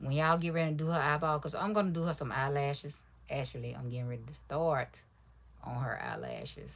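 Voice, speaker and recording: The speaker is soft-spoken and talks at a fairly quick pace. Audible room echo surrounds the voice. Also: woman. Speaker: crafter livestreamer. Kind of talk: casual livestream chat while crafting. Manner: quiet, soft-spoken; relaxed, rambling.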